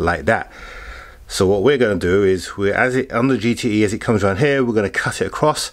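A man with an unremarkable speaking voice talks at a fairly low pitch, with ordinary pitch variation and a quiet background. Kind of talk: tutorial. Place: garage. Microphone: camera far.

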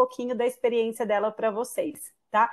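A woman speaks at a moderate pace in a high voice, her intonation flat and monotone, against a quiet background. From Brazil. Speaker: international student recruiter. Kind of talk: webinar presentation. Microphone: video call.

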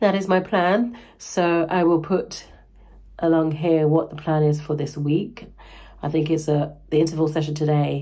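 Her very deep, low-pitched voice is somewhat breathy, and this woman keeps her intonation fairly even. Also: quiet background. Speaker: running vlogger. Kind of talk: casual vlog chat. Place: home room. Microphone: phone near.

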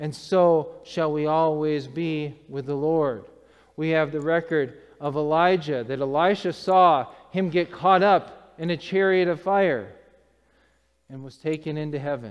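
Against a quiet background, a man with a normal speaking voice talks at a fairly slow pace with a fairly high pitch. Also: ordinary pitch variation, big swings in loudness. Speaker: preacher. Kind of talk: sermon. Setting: church. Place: church.

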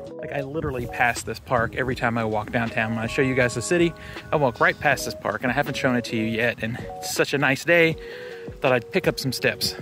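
Over clear background music, a man talks at a very fast pace. The sound is dry, with no echo, and his pitch varies in an ordinary way. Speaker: city walk vlogger. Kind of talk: casual vlog chat. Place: street. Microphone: phone near.

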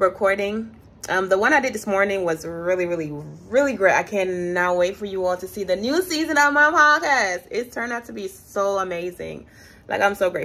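A woman's bright, sharp tone with lively intonation. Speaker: vlogger. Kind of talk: casual vlog chat. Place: home room. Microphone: phone near.

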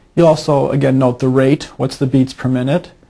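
A man is speaking here. His pace is fairly quick. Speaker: physician instructor. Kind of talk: instructional tutorial.

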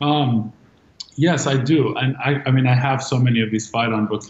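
A man with an American accent, fairly even intonation and audible room echo. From Los Angeles, London and Dubai. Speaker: art collector and creative director; guest. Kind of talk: panel discussion. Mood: warm, relaxed. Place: home room. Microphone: video call.

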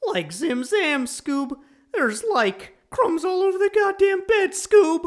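An extremely high-pitched, put-on character voice at a fairly slow pace. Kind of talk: comic dub. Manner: drawling, casual.

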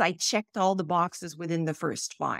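A woman talks at a fairly slow pace. The background is quiet and the sound is dry, with no echo. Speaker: podcast guest. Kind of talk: interview answer. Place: home room.

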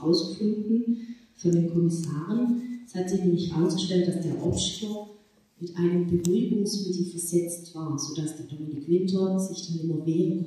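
Strong room echo surrounds a woman speaking at a fairly low pitch with fairly even intonation. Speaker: crime novelist. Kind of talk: introduction to a reading. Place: hall. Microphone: phone near.

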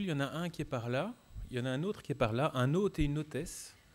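A man's fairly high pitch shows ordinary variation as he talks at a very fast pace. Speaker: debate moderator. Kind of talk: moderated public debate. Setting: stage with audience. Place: hall. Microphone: handheld.

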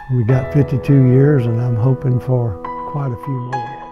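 A man talks fairly slowly, and clear music plays behind him. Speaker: husband of the film's subject. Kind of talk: documentary interview answer. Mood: reflective, tender. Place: home room. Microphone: lapel.

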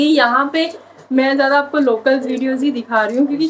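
Light background noise sits behind a woman speaking at a moderate pace in a high pitch. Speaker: vlogger. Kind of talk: casual vlog chat. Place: home room. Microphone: phone near.

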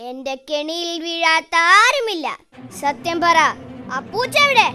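An extremely high cartoonish character voice speaks at a fairly slow pace. Faint music plays in the background. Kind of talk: comic cartoon thug. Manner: boastful, blustering, threatening.

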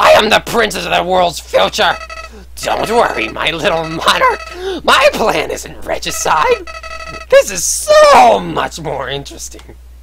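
Using a put-on character voice, a man speaks at a fairly slow pace while music plays clearly in the background. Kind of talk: villain overacting. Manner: menacing, taunting.

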